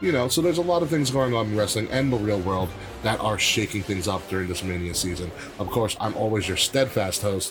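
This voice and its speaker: A man with a fairly low pitch talks at a fairly quick pace while music plays in the background. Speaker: wrestling podcast host. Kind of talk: casual chat. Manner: animated.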